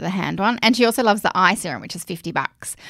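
A woman with an Australian accent speaks with lively intonation and vocal fry. The recording is very clean, with a silent background. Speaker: podcast host. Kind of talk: casual chat.

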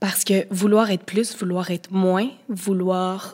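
On a very clean recording with a silent background, the speaker uses a Quebec accent, a very slow pace and fairly even intonation. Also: woman. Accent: Québécois French. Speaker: guest sharing eating disorder experience. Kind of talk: testimony.

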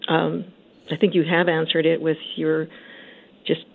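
A woman speaks at a moderate pace. Hers is an unremarkable speaking voice. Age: 60s. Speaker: caller. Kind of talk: call-in question. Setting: phone call.

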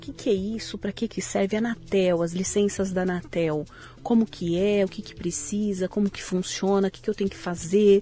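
A woman uses a normal speaking voice at medium pitch and a moderate pace. Her intonation is fairly even, while her loudness swings widely. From São Paulo city, Brazil. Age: 40s. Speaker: tech company CEO, entrepreneur. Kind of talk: interview conversation.

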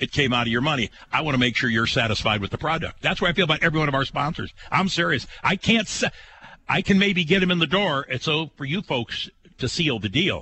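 Talking very fast with lively intonation, a man speaks in an American accent. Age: 80s+. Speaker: radio host. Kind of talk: casual chat.

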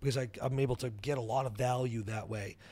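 A man with an American accent speaks in an ordinary speaking voice at medium pitch and a moderate pace, with ordinary pitch variation. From New Hampshire, US. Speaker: entrepreneur. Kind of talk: interview.

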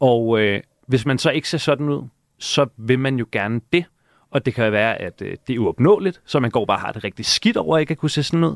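In a normal speaking voice, a man talks at a fairly quick pace and medium pitch with lively intonation, in a very clean recording with a silent background and a dry, close sound with no echo. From Denmark, Hellerup north of Copenhagen. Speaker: TV presenter. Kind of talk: casual chat. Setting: radio studio.

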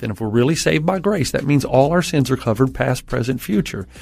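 Very fast speech comes from a man with a medium pitch and an American accent. Vocal fry runs through his voice. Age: 50s. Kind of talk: interview about mental health and faith.

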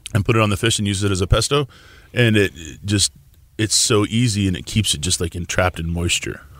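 Very fast speech comes from a man with an American accent and a fairly low pitch. The recording is very clean, with a silent background. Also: ordinary pitch variation. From Tulsa, Oklahoma. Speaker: chef. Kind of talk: casual interview.

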